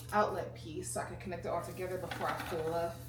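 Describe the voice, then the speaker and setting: A woman talks in a room with audible echo and noticeable background noise. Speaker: lifestyle vlogger. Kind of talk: casual chat. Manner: serious-sounding.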